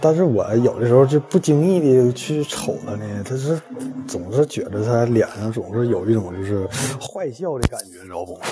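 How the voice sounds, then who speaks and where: Speaking in a Northeastern Chinese accent, a man talks at a moderate pace with a medium pitch, lively intonation and big swings in loudness. Noticeable background noise runs behind him. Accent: Northeastern Mandarin. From Northeast China. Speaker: listener caller. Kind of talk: storytelling. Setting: live-stream voice call.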